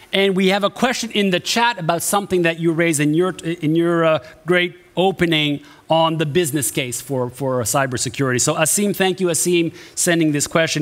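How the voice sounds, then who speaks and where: A man's high voice with lively intonation, at a moderate pace. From Canada. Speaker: event host. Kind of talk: event moderation. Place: stage.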